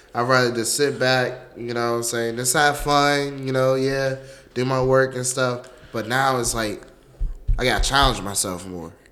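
A man's bright, sharp voice at a moderate pace, with fairly even intonation and audible room echo. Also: medium pitch for a man. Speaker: college student. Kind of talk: casual interview. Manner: halting.

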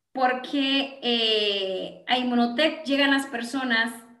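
A raised, projected voice with a bright, sharp tone, ordinary pitch variation and audible room echo. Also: woman. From Guatemala (Gualán, Zacapa). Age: 40s. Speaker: network marketing entrepreneur. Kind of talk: interview with sales pitch.

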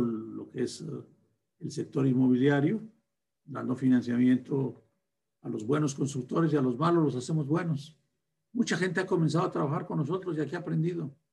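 Somewhat breathy, a man speaks at a moderate pace and fairly high pitch with ordinary pitch variation. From northern Mexico (Durango, raised in Torreón). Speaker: bank founder and president. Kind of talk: interview.

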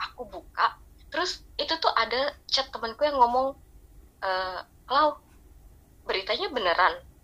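In a raised, projected voice, a woman speaks at a moderate pace, high-pitched with very wide pitch swings and a bright, sharp tone. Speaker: hospital worker and K-pop fan. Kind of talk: casual chat.

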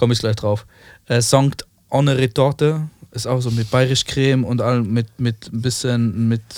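Fairly even intonation at a fairly slow pace. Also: man, medium pitch for a man. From Switzerland. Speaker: chef. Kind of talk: casual chat.

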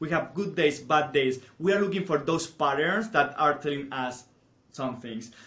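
A fairly high-pitched man with a Spanish accent and a bright, sharp tone, at a moderate pace with ordinary pitch variation. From Spain. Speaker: teacher. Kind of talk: casual chat.

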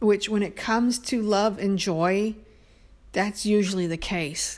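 A woman with a normal speaking voice talks at a medium pitch with ordinary pitch variation and an American accent. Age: 50s. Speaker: podcaster. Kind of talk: personal monologue.

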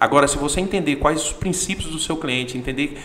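A man's fairly high voice, with ordinary pitch variation, moves at a fairly quick clip amid noticeable background noise. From Goiás, Brazil. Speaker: accounting firm partner. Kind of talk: casual interview chat.

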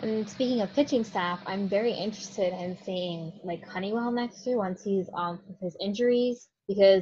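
This woman has a plain, everyday voice. She keeps a moderate pace and fairly even intonation. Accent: American. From Florida, St. Petersburg. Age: young. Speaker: sports fan guest. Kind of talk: casual chat.

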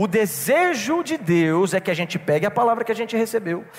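Very wide pitch swings run through a man's animated tone. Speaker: pastor. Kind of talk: sermon.

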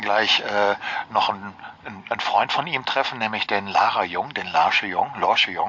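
A man with ordinary pitch variation against noticeable background noise. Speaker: rickshaw city tour guide. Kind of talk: guided tour. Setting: outdoors on a rickshaw. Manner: vibrato from cobblestones.

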